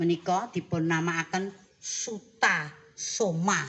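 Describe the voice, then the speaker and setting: A woman speaks at a very slow pace. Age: old. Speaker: ruwatan puppeteer (dalang) of the Surakarta palace. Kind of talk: interview answer.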